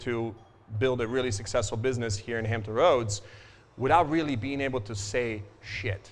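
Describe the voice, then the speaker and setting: With a Croatian accent, a man talks at a fairly quick pace in a medium pitch with ordinary pitch variation. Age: 40s. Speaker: financial advisor. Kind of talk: business talk to audience. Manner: casual, filler-heavy.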